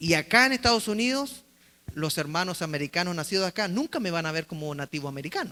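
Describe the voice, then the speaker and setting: A man speaks at a very fast pace with a high pitch, lively intonation and a bright, sharp tone. The recording is very clean, with a silent background. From Chile. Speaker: pastor. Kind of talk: sermon.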